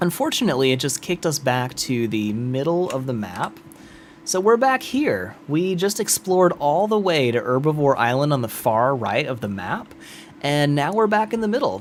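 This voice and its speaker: Noticeable background noise sits behind a man with an American accent. His pitch is fairly high, swings very widely, and he talks at a moderate pace. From US South. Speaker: gaming streamer. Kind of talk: live gameplay stream commentary. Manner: casual, animated.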